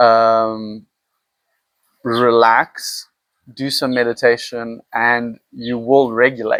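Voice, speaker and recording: The sound is dry and close, with no echo. A man speaks at a medium pitch. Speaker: vlogger. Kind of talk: personal vlog monologue. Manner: halting.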